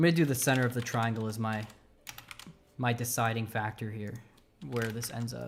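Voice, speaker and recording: Against noticeable background noise, a man with an American accent and medium pitch talks with fairly even intonation and long, frequent pauses. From United States. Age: 20s. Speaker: game developer. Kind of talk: live coding stream. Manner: halting.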